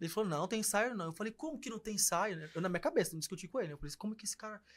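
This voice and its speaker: Barely pausing, a man with a high pitch speaks with lively intonation and big swings in loudness. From Brazil, Porto Velho (Rondônia). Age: 30s. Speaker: singer. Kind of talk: casual interview chat. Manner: animated.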